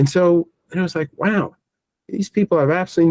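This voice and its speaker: A man with a New York accent talks at a fairly quick pace and a high pitch, with ordinary pitch variation. The sound is dry and close, with no echo. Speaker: technology business owner. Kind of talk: interview. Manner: halting, repetitive starts.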